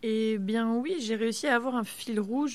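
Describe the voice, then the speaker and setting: A woman's normal speaking voice at a fairly slow pace with ordinary pitch variation, in a very clean recording with a silent background. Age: 30s. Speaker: medical resident and stem cell researcher. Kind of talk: casual interview.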